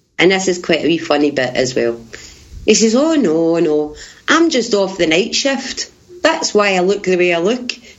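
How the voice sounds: A woman talks at a fairly low pitch with big pitch swings. There is audible room echo. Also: moderate pace.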